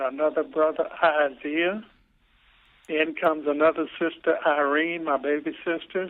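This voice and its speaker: This man has a fairly high voice and talks at a fairly slow pace. His intonation is monotone and flat. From Louisiana, US South. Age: 60s. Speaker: interviewee, father telling life story. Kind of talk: life story interview. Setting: phone call. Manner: halting.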